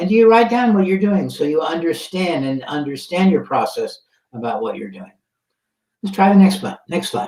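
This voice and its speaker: With big swings in loudness, a man speaks in a high voice with lively intonation. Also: moderate pace. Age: 70s. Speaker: software pioneer, conference speaker. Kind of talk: conference talk. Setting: virtual conference. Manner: halting.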